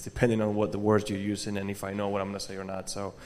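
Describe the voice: Fast, monotone delivery with flat intonation and a slightly mellow tone. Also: man.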